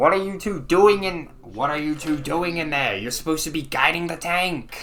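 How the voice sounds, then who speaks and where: A man puts on a character voice at a fairly high pitch, raised and projected, at a moderate pace. Clear background noise can be heard. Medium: actual play.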